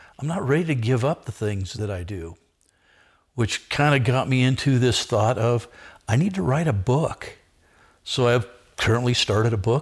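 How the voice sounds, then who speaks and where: With an American accent, a man talks in a normal speaking voice at a medium pitch. His pitch shows ordinary variation, and the background is quiet. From Southern California. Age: 60s. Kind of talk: podcast interview.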